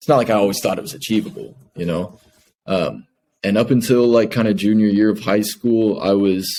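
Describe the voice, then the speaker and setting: A man with an American accent talks at a fairly quick pace. His pitch is fairly low, and his intonation fairly even. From Kansas City, Missouri, US Midwest. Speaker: professional footballer. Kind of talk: interview.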